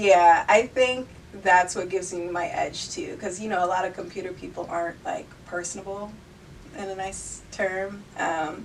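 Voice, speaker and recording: Over noticeable background noise, a woman speaks at a moderate pace with a medium pitch, fairly even intonation and big swings in loudness. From northeastern Pennsylvania (Poconos). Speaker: college student and model. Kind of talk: casual interview. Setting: radio studio.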